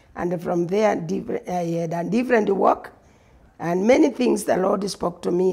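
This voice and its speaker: Dark and mellow with vocal fry, a woman's voice sits fairly low. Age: 60s. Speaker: pastor. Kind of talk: testimony.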